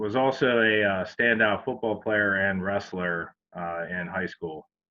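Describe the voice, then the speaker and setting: A man with a central Pennsylvania accent, fairly low in pitch, at a fairly slow pace with fairly even intonation. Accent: central Pennsylvania American. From Pennsylvania, Harrisburg. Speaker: railroad chief mechanical officer. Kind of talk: presentation. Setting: virtual event. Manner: hesitant, many fillers.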